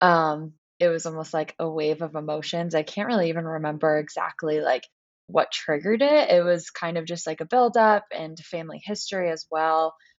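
Fairly low in pitch with ordinary pitch variation, a woman speaks at a fairly quick pace in a normal speaking voice. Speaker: wellness business co-owner and yoga coach. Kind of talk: casual interview chat.

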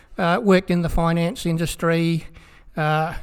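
With an Australian accent, this man speaks at a high pitch. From South Australia. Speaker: pastor. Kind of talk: interview.

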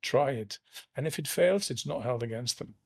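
In a very clean recording with a silent background, a man talks at medium pitch. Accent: Flemish. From Flanders, Belgium. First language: Dutch. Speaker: law firm senior partner. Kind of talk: interview conversation. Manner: hesitant, with fillers.

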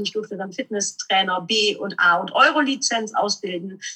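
With very wide pitch swings, a woman speaks at a moderate pace. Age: 40s. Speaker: motivational speaker and trainer. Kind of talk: interview.

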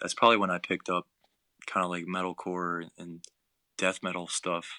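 A man speaks at a moderate pace. The recording is very clean with a silent background, and the sound is dry and close with no echo. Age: 20s. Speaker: hardcore band vocalist. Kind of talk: casual chat.

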